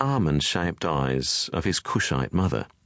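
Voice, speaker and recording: A man speaks in a solemn tone with vocal fry and very wide pitch swings. The background is quiet. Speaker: audiobook narrator.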